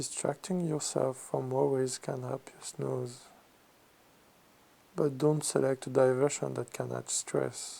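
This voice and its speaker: Speaking with a French accent in a relaxed tone, a man goes at a fairly slow pace with long, frequent pauses. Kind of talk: ASMR magazine reading and commentary. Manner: slow, relaxed.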